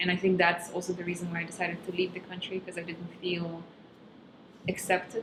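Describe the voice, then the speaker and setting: Fairly quick, monotone speech comes from a woman with a fairly low voice and flat intonation. Noticeable background noise runs behind her. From Kazakhstan. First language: Russian. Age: 20s. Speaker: stand-up comedian. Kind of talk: casual interview.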